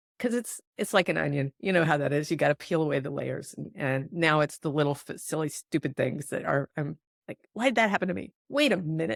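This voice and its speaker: With vocal fry and lively intonation, a woman speaks at a very deep, low pitch and a fairly quick pace, hardly pausing, in a dry, close sound with no echo. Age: 60s. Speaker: podcast host, intuitive healer. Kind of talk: podcast interview.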